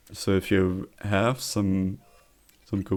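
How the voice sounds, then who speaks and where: A man speaks with a German accent. His pitch sits fairly low. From Germany. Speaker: streamer. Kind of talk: casual live stream chat. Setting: live stream.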